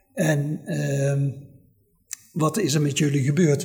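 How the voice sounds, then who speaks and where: A man's voice at a very slow pace. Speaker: son of war evacuees, family historian. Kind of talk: oral history interview.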